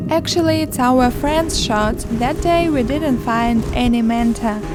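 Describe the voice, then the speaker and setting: A woman's high voice at a fairly slow pace, with ordinary pitch variation and very even loudness, over background music and audible room echo. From Ukraine. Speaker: travel vlogger. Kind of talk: travel vlog narration.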